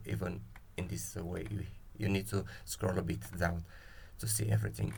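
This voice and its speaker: A man with a non-native accent talks at a moderate pace with vocal fry and ordinary pitch variation. Room echo is audible. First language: not English. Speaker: spreadsheet tool creator. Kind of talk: software tutorial. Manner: halting, many fillers.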